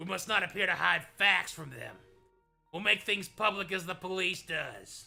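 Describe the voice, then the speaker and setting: Over faint music in the background, a man puts on a raspy character voice, high in pitch, at a moderate pace with fairly even intonation. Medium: game stream. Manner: direct, businesslike.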